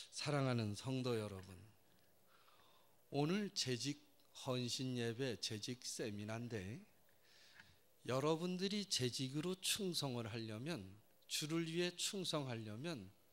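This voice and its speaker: Speaking very slowly with a Gyeongsang accent, a man lets his pitch swing very widely and leaves long, frequent pauses. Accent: Gyeongsang Korean. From South Korea, Daegu (Gyeongsang). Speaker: pastor and professor. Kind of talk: sermon. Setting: church. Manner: animated.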